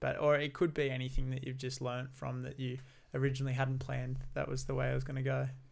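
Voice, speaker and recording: With an Australian accent, a man races through his words at a very fast pace. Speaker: podcast host. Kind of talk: casual interview chat.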